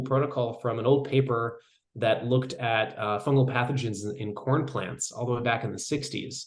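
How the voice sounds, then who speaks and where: Somewhat breathy, a man talks at a fairly quick pace, with audible room echo. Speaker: mycology researcher. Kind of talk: lecture. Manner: fast.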